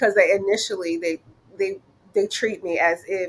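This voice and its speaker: In a normal speaking voice, the speaker talks at a fairly quick pace with fairly even intonation. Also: woman. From United States. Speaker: flight attendant. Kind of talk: interview.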